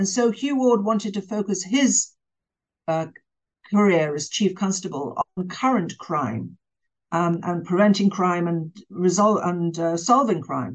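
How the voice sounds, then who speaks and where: In an English accent, a woman speaks at a fairly slow pace. Her medium-pitched voice has lively intonation. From England. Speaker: author and former journalist. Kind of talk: interview.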